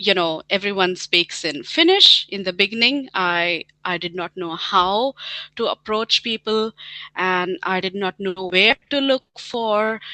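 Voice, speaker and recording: A woman with an Indian accent speaks at a fairly slow pace, her medium pitch rising and falling in an ordinary way. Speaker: scientist and team leader. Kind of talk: interview. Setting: webinar. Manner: hesitant, many fillers.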